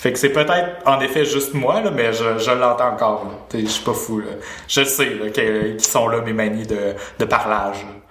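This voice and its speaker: A man speaks at a moderate pace and a medium pitch, with ordinary pitch variation, over noticeable background noise and audible room echo. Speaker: podcast host. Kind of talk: casual chat. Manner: mannered speech.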